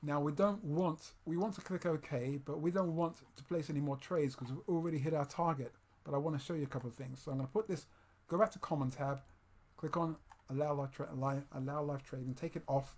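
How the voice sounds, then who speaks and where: Somewhat breathy, a man talks with a fairly high pitch. His pace is fairly quick, and his pitch variation is ordinary. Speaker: trading course instructor. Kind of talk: screen-recorded tutorial. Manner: fast; halting, many fillers and restarts.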